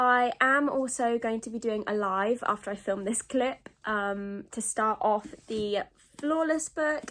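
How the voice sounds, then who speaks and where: A woman's fairly high voice in a British accent, fairly slow, with ordinary pitch variation. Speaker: book vlogger. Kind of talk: casual vlog chat. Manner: casual, filler-heavy.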